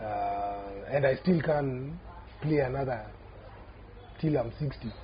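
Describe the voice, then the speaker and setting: A man goes at a very slow pace, and audible room echo follows his words. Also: medium pitch for a man, ordinary pitch variation. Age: 40s. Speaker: rugby player. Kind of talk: casual chat.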